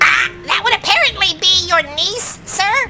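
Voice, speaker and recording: A squeaky, put-on character voice talks at a moderate pace. Faint music plays in the background. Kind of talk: comic sketch acting. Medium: comedy sketch. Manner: dry, deferential, starts lines with a drawn-out 'ah'.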